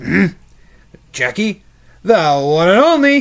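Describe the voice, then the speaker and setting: A man uses a put-on character voice pitched high for a man, talking at a fairly slow pace with very wide pitch swings. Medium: read story.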